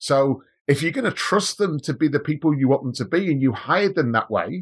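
A man's somewhat breathy voice at a fairly quick clip, with lively intonation, on a very clean recording against a silent background. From Manchester, England. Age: 40s. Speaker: business leader. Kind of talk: podcast interview.

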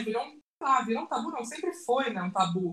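A woman with a plain, everyday voice, fairly high pitch and lively intonation. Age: 30s. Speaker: content creator, designer. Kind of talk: casual chat.

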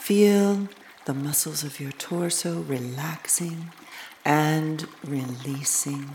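In a calm, soothing tone, the speaker goes at a very slow pace against noticeable background noise. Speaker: meditation guide. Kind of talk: guided meditation. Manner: slow, calm, soothing; gentle, measured, with long pauses.

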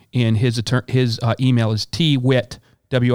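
On a very clean recording with a silent background, a man's voice comes through dry and close with no echo. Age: 50s. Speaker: health insurance agent and podcast host. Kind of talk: casual interview.

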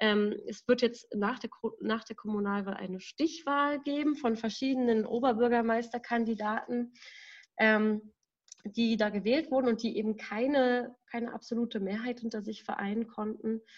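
In a plain, everyday voice, a woman speaks fairly slowly with a fairly high pitch and fairly even intonation. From Berlin, Germany. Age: 20s. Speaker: staff member of a democracy advocacy group. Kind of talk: casual podcast conversation. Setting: at home in her apartment.

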